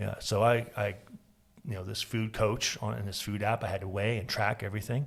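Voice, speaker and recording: In a very clean recording with a silent background, a man speaks at a moderate pace with a fairly low pitch, vocal fry and monotone, flat intonation. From Florida. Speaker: podcast host. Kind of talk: casual chat.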